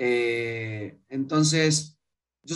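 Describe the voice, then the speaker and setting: The voice belongs to a man. Its pitch shifts in an ordinary way. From Argentina, Mendoza. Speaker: startup founder. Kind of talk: interview. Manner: animated.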